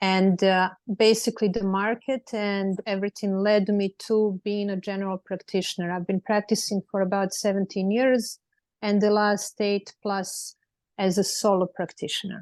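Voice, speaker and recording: With a Serbian accent, a woman speaks at a medium pitch and moderate pace in a flat monotone, the sound dry and close with no echo over a quiet background. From Serbia, Belgrade. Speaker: lawyer. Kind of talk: panel discussion.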